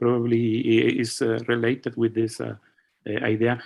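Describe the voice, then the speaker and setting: In a Spanish accent, a man talks at a medium pitch. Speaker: physicist asking a question. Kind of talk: seminar Q&A. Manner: halting, many fillers.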